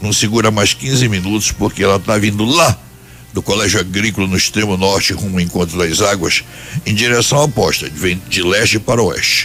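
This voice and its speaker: A man speaks at a moderate pace with a fairly low pitch and ordinary pitch variation. Noticeable background noise can be heard. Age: 70s. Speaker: radio commentator. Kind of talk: casual chat.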